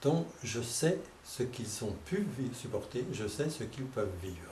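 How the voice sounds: Audible room echo surrounds a man's slightly mellow voice. He speaks at a fairly slow pace with lively intonation. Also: medium pitch for a man.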